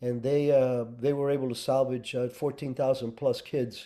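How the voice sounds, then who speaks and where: A man's medium-pitched voice with a Spanish accent, dark and mellow in tone, flat and monotone, at a moderate pace. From Cuba, then raised in US (Colorado). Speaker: former intelligence officer and author. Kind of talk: interview. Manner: halting, many fillers.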